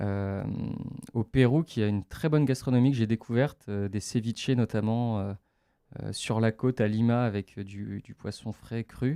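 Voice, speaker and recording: Dark, mellow tones from a man, the intonation fairly level. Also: medium pitch for a man, moderate pace, dry, close sound with no echo. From France, Metz (Lorraine). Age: 20s. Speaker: adventurer. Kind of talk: radio interview. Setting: radio studio. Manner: hesitant, many fillers.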